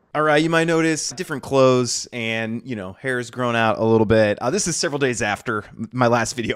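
Over a quiet background, a man speaks at a very fast pace. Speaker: tech video creator. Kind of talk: tutorial. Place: home room. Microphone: studio mic.

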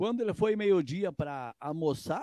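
Dark and mellow in tone, a man's high-pitched voice moves at a moderate pace. The sound is dry with no echo against a quiet background. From Rio Grande do Sul, Brazil (Santa Rosa); Rio Grande do Sul, Brazil. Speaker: musician; guest. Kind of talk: casual interview. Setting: video call. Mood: emotional, sincere. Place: home room. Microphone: handheld.

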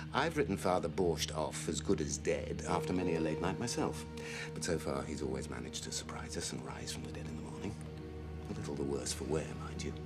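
The speech moves at a fairly quick pace over loud music in the background. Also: man. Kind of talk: scripted drama dialogue. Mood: dry, wry, calm. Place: bar.

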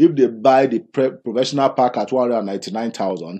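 Speaking at a fairly slow pace, a man with a Nigerian accent uses a medium pitch. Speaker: business presenter. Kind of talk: sales pitch. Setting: video. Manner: persuasive.

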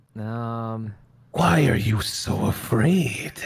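This is a put-on character voice. It sits at a low pitch. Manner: menacing.

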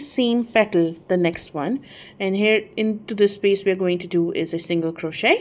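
A woman speaks with a non-native accent. Her pace is moderate. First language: not English. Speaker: crochet tutorial creator. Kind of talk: tutorial. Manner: halting, hesitant with fillers.

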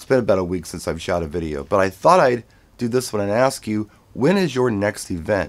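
This man has a plain, everyday voice, pitched fairly low. He talks at a moderate pace with lively intonation. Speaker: wedding DJ. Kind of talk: casual vlog chat. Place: home room.

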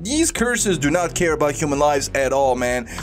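A man at a fairly quick pace, faint music in the background. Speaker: anime reaction youtuber. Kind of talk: casual reaction commentary. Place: home room. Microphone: studio mic.

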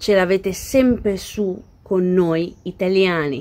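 Very slowly, a woman speaks at a medium pitch with ordinary pitch variation. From Italy. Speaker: vlogger. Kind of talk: casual reaction video chat. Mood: indignant, argumentative. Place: garden. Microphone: phone near.

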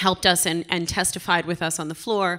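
A woman's bright, sharp voice stays monotone and flat over a quiet background. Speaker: blockchain advocacy group co-founder. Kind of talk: conference panel talk. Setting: stage with audience. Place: stage. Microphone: handheld.

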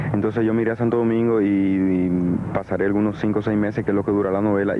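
Fairly quick speech over noticeable background noise, with a dry sound and no echo. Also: man. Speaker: interviewee. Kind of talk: interview answer. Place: waterside. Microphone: handheld.

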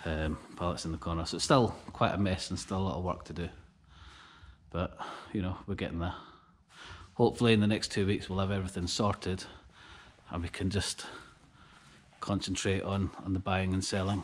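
With a very deep, low pitch, a man speaks at a fairly quick pace and fairly even intonation. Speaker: small online reseller. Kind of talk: casual vlog chat. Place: factory. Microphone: phone near.

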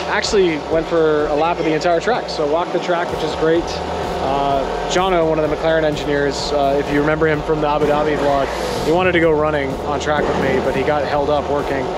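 The speech moves at a fairly quick pace against loud background noise. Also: man. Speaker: motorsport photographer vlogger. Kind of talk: casual vlog chat. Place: street. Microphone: phone near.

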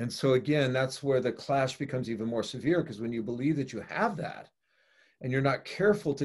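With an American accent, a man talks in lively intonation against a quiet background. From US West Coast, San Francisco; California. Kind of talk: casual interview conversation. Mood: earnest, reflective. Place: home room. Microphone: video call.

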